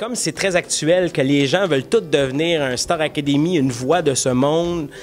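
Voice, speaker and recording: Faint music plays in the background. Over it, a man speaks at a fairly high pitch and a moderate pace. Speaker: puppeteer. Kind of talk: interview answer. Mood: playful, joking. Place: stage. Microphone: handheld.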